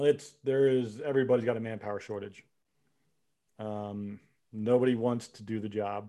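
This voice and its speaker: Long, frequent pauses break up a man's dark, mellow voice, which keeps a fairly even intonation. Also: medium pitch for a man, moderate pace, big swings in loudness. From Philadelphia area, US. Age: 50s. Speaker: law enforcement officer and army veteran. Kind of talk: casual chat.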